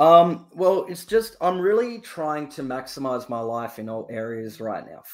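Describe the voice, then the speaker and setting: Talking at a fairly slow pace with hardly any pauses, a man with a fairly high pitch shows very wide pitch swings and big swings in loudness. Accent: Australian. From Australia. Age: 20s. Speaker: caller, entrepreneur. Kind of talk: casual chat.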